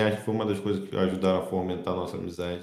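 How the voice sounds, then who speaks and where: A man with fairly even intonation. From Rio de Janeiro state, Brazil. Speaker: podcast host. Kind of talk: casual chat. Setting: remote call.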